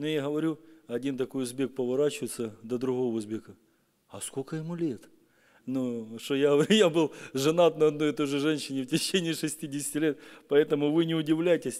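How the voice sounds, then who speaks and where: Against a quiet background, a man speaks at a moderate pace and a fairly high pitch, with ordinary pitch variation. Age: 40s. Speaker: pastor. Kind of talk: sermon. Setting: church. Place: church. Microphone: podium.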